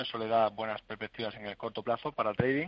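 An unremarkable speaking voice delivers its lines with intonation that stays fairly even. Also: man. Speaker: stock market analyst. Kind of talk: radio phone-in market analysis.

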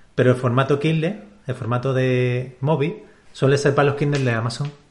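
Somewhat breathy, a man speaks at a medium pitch. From Canary Islands, Spain. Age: 30s. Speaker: publishing company CEO. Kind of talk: interview.

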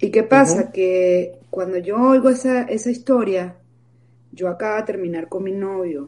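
Her dark, mellow tone sits at a medium pitch as the woman speaks at a moderate pace with ordinary pitch variation. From Venezuela. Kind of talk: interview, personal testimony.

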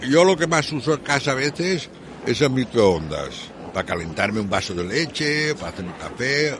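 Noticeable background noise accompanies a man. His intonation is lively and his pace fairly quick. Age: 70s. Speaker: elderly man with low vision. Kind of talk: interview testimony. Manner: halting.

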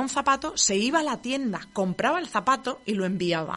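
This woman has a southern Spanish accent. She talks at a moderate pace with lively intonation. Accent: regional southern Spanish. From southern Spain, between Murcia and Castilla-La Mancha. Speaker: marketing podcast host. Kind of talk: casual solo monologue. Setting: radio studio. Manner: shaky voice.

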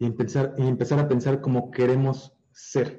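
A man talks at a fairly slow pace, his dark, mellow tone somewhat breathy. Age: 30s. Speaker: digital marketer. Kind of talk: interview. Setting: live stream.

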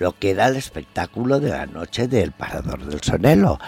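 Over music in the background, a man talks at a fairly slow pace in a medium pitch, the sound dry and close with no echo. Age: 80s+. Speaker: traditional costume designer. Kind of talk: interview.

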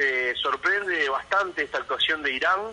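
Noticeable background noise runs behind a man speaking at a moderate pace. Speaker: football commentator. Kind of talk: casual phone interview. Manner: halting, many repetitions.

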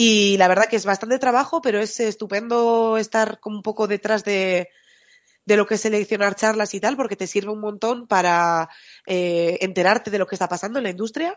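Talking at a fairly quick pace, a woman has an unremarkable speaking voice of medium pitch with ordinary pitch variation. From Spain, Bilbao. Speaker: software developer and podcast host. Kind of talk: casual chat.

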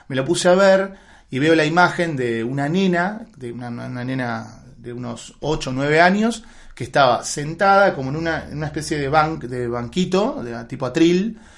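Speaking at a moderate pace with an Argentine accent, a man with a fairly high pitch uses lively intonation and big swings in loudness. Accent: Rioplatense Argentine Spanish. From Buenos Aires, Argentina. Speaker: film director and writer. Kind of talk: interview. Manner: halting, many repetitions.

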